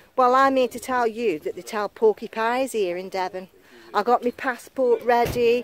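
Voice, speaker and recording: A woman speaks at a high pitch and a moderate pace. The sound is dry with no echo. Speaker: metal detecting vlogger. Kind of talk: casual vlog chat. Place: open country. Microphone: phone near.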